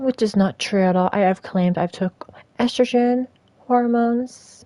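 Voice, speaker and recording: Delivered at a moderate pace, this voice has a dark, mellow tone, very even loudness and ordinary pitch variation. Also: woman, fairly high pitch for a woman. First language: not English. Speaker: streamer. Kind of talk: live stream monologue.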